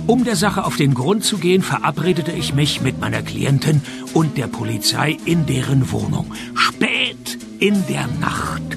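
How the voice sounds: Over clear background music, a man in a put-on character voice speaks at a fairly slow pace with few pauses, his fairly high pitch swinging widely and showing vocal fry.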